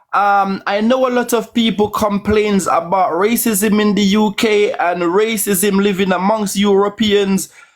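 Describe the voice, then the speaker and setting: This man speaks with a Caribbean accent at a high pitch. His pace is fairly slow. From Jamaica. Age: 40s. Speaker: caller. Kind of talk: casual chat.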